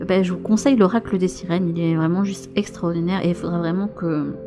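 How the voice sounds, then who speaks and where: Soft-spoken and gentle in tone, a woman talks at a moderate pace and medium pitch while music plays in the background. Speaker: tarot and oracle card reader, spiritual guide. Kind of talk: casual talk to camera. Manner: soft-spoken, gentle.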